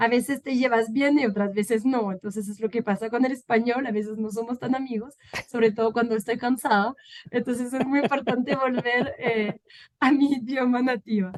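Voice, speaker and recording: A woman speaks with a French accent at a high pitch. Her intonation stays fairly even. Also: moderate pace. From France. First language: French (speaking Spanish). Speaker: political scientist and peacebuilding expert. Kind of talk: interview. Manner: halting, many fillers.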